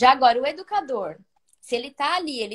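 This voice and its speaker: A high-pitched woman's voice with very wide pitch swings at a moderate pace. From Brazil. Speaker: preschool teacher. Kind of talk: live stream interview. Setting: live video stream, on holiday at a cousin's house.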